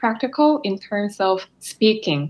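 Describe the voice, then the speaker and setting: Speaking with a Korean accent, a woman has a fairly high pitch and lively intonation. Her pace is fairly slow. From South Korea, Seoul. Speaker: physical therapist and graduate student. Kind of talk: interview.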